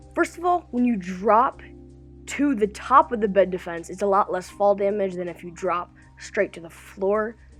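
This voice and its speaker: With music in the background, a woman speaks at a moderate pace and medium pitch with lively intonation. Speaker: gaming YouTuber. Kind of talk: gameplay tutorial voiceover. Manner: upbeat.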